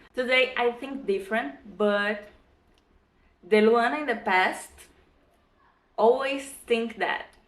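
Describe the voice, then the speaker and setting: A woman with a Brazilian accent speaks at a very slow pace in a fairly high pitch with ordinary pitch variation. There are long, frequent pauses and audible room echo. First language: Portuguese. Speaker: vlogger. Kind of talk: casual vlog talk. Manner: halting, with fillers.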